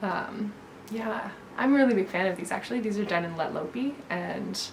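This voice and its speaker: A woman with a fairly high pitch speaks at a moderate pace. Noticeable background noise and audible room echo are present. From Newfoundland, Canada. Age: 30s. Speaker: knitwear designer. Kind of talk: casual chat. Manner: hesitant, many fillers.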